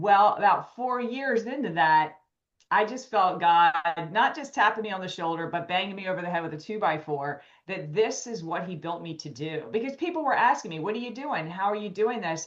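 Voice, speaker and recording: A woman with a plain, everyday voice speaks at a fairly quick pace with lively intonation and big swings in loudness. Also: medium pitch for a woman. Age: 50s. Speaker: wellness coach. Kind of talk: interview.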